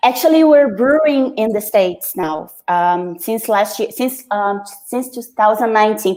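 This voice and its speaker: Lively intonation from a woman with a fairly high pitch, at a fairly slow pace. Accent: Brazilian. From Brazil, Rio de Janeiro. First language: Portuguese. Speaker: brewer. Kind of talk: interview. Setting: video call from home. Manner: halting.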